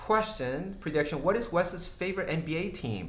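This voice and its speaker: Through audible room echo, a man with a high pitch talks at a fairly slow pace with ordinary pitch variation. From Brazil, São Paulo. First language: Portuguese. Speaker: tech company CEO. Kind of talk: livestream Q&A. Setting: livestream. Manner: halting, many fillers.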